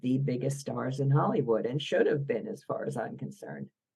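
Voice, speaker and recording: Very deep, low pitch from a woman with a Philadelphia accent and a dark, mellow tone. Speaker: biographer. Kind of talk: podcast interview.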